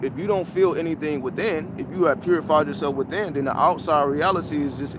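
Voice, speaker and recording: A man talks at a fairly quick pace with ordinary pitch variation. Noticeable background noise is present. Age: 30s. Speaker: spiritual teacher. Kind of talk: livestream talk. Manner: casual, halting.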